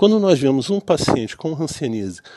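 A man talks at a fairly quick pace in a fairly high pitch, with very wide pitch swings. His tone is dark and mellow, and the background is quiet. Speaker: physician. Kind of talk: educational talk to fellow doctors. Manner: halting, with repetitions and fillers.

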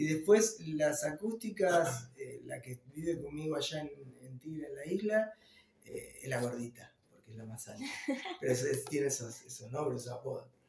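A man with an unremarkable speaking voice talks at a moderate pace and fairly high pitch, with lively intonation and big swings in loudness. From Argentina, Ituzaingó, Buenos Aires conurbano. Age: 40s. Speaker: rock musician, guitarist and songwriter. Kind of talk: casual interview.

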